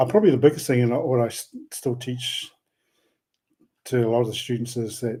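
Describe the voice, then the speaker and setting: The voice is somewhat breathy with a dark, mellow tone, ordinary pitch variation, and a fairly quick pace.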